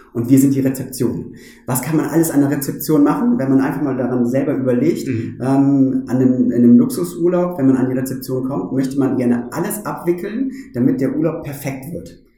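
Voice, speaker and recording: The speech moves at a fairly quick pace with ordinary pitch variation, and the recording has audible room echo and noticeable background noise. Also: man, medium pitch for a man. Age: 40s. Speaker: bank branch manager. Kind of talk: interview conversation. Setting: bank branch.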